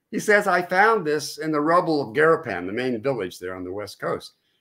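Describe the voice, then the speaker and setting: A fairly high, bright and sharp male voice with vocal fry and an American accent, swinging very widely in pitch at a fairly quick pace against a quiet background. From California. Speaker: author and oral historian; guest. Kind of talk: interview about history. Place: home room.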